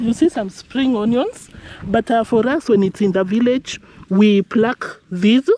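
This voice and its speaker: Speaking at a very slow pace, a woman has a dark, mellow tone with ordinary pitch variation. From Kenya. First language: Kenyan ethnic language. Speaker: village vlogger. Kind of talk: casual vlog narration. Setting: outdoors on a farm. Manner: casual, conversational.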